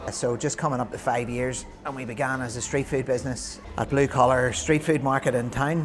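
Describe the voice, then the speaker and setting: A man with a Northern Irish accent, medium pitch, monotone, flat intonation and a moderate pace over noticeable background noise. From Northern Ireland. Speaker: vegan restaurant owner. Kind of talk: interview.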